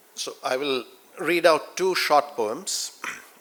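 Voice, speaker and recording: A man with a Keralan accent, ordinary pitch variation and a fairly slow pace. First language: Malayalam. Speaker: poet. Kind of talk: poetry reading.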